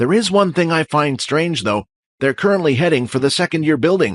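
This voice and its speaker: A man puts on a character voice, pitched fairly high and delivered at a fairly quick pace with lively intonation and very even loudness. The sound is dry and close with no echo, over a quiet background. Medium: audio drama. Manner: calm, measured.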